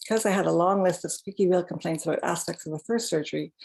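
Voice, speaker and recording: A soft-spoken woman talks at a very fast pace. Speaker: patient with Parkinson's sharing DBS experience. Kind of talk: personal testimony on a webinar. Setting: webinar video call with slides.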